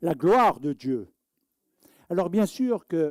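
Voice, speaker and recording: A man speaks very slowly with a dark, mellow tone. The recording is very clean and dry, close with no echo and a silent background. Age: 60s. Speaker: rabbi. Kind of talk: sermon. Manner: animated.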